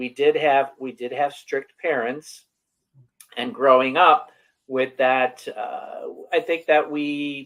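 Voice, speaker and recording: Speaking at a fairly slow pace, a man with an American accent has a fairly high pitch. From Western New York, near Buffalo. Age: 60s. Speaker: wellness coach. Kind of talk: interview.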